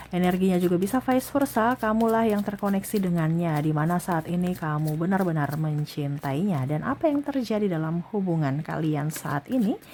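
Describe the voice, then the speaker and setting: A woman with a fairly low pitch talks at a fairly quick pace with hardly any pauses and lively intonation. Noticeable background noise can be heard. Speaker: tarot reader. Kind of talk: tarot reading. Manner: soft-spoken.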